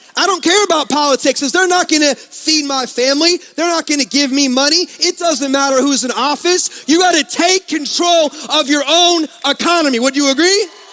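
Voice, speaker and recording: A man talks in a raised, projected voice with extremely high pitch and an energetic tone, his loudness very even and his pitch varying in an ordinary way. He keeps a moderate pace with hardly any pauses, the sound dry and close with no echo over noticeable background noise. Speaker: network marketing speaker. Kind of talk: motivational speech. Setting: stage with audience.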